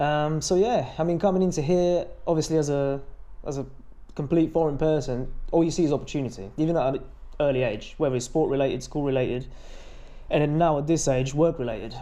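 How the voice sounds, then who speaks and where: Speaking very fast with a dark, mellow tone, a man uses a fairly high pitch with ordinary variation, and the room echo is audible. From Bulgaria. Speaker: fitness influencer. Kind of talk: interview.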